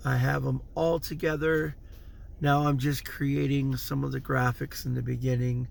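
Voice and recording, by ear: With little pitch movement and some vocal fry, a man talks at a moderate pace and a medium pitch.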